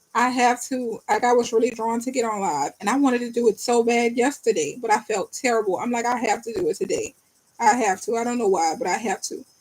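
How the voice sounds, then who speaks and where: In a New Orleans accent, a woman talks very fast at a high pitch, with ordinary pitch variation. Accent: New Orleans Southern US. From New Orleans, US. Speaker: tarot reader. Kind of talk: live-stream tarot reading and chat with viewers. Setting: live stream from bed. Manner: fast when reading.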